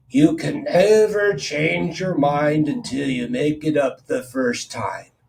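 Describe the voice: Using a put-on character voice, a man talks at a fairly slow pace with a fairly high pitch.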